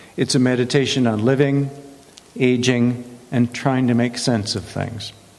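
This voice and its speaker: With noticeable background noise around him, a man speaks in fairly even intonation. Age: 70s. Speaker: guest speaker. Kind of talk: prepared talk. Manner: warm.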